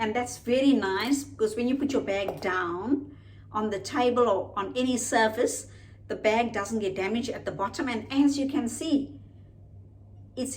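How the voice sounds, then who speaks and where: With audible room echo, a woman speaks in a fairly high voice with vocal fry and ordinary pitch variation. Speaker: lifestyle vlogger. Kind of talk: unboxing video, casual product review. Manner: slow, deliberate.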